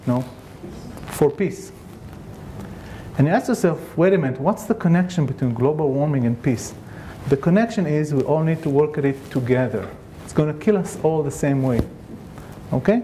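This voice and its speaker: With a non-native accent, a man speaks at a fairly high pitch, leaving long, frequent pauses over noticeable background noise. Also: lively intonation, moderate pace. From Israel. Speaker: scientist. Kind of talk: conference talk.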